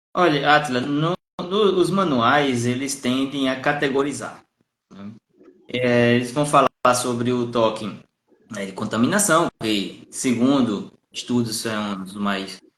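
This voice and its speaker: A man at medium pitch speaks with lively intonation and big swings in loudness. Long, frequent pauses break up his speech. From Brazilian Northeast, Paraíba. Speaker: psychologist. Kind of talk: live stream conversation. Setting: Instagram live video call.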